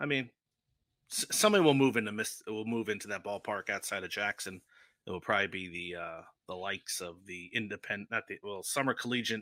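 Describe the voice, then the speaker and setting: With a New Jersey accent, a man speaks at a fairly quick pace and fairly low pitch, with ordinary pitch variation and a bright, sharp tone. The recording is very clean and silent behind him, with a dry, close sound and no echo. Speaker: sports travel podcast panelist. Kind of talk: casual chat.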